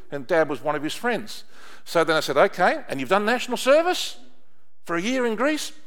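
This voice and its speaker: Speaking at a fairly quick pace, a man with an Australian accent uses a high voice that swings very widely in pitch. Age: 60s. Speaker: pastor. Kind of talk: sermon. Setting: church. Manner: animated.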